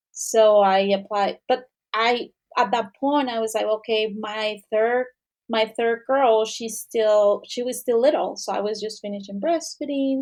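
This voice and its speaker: With a Mexican accent, the speaker talks at a moderate pace with ordinary pitch variation and big swings in loudness against a quiet background. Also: woman. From Mexico. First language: Spanish. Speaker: returning professional. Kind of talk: interview. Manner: halting.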